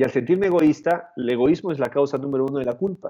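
The pace is fairly quick, and the pitch varies in an ordinary way. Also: man. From Peru. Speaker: motivational speaker and author. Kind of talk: interview conversation. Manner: halting, many repetitions.

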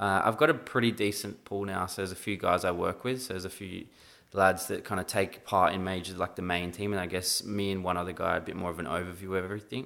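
With an Australian accent, a man speaks very fast in a very deep, low pitch and a bright, sharp tone, captured in a very clean recording with a silent background. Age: 20s. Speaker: esports team manager. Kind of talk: casual chat.

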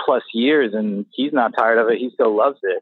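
With an American accent, a man speaks at a moderate pace and medium pitch in an unremarkable speaking voice. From Florida, US. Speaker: rock guitarist. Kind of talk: casual interview. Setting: video call. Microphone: poor video call audio.

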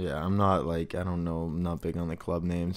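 The speaker talks with an American accent. The recording is very clean, with a silent background. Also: man. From Boston area, Massachusetts. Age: 20s. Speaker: podcast co-host. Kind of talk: casual chat.

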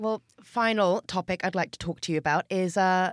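Here a woman speaks in an Australian accent at a medium pitch. The sound is dry and close, with no echo. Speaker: podcast host. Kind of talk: interview.

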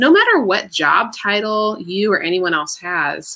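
A woman's bright, sharp tone with lively intonation and an American accent. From Washington, D.C. area. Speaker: entrepreneur and author. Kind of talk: interview on a live stream.

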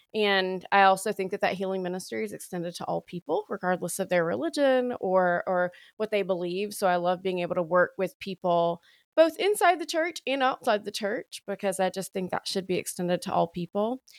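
A woman's medium-pitched voice with a strong Southern US accent, fairly quick and with ordinary pitch variation, dry and close with no echo on a very clean recording against a silent background. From US South, Alabama. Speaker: priest and sobriety coach. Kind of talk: interview conversation. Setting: podcast recording.

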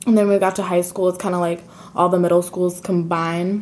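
A woman with an American accent talks at a fairly quick pace in a fairly low pitch, her intonation monotone and flat. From US Pacific Northwest (Seattle/Tacoma area). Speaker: college student. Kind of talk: casual interview.

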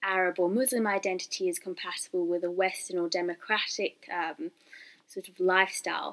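A woman with a normal speaking voice of medium pitch talks at a moderate pace with fairly even intonation. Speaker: student podcast host. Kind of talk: interview.

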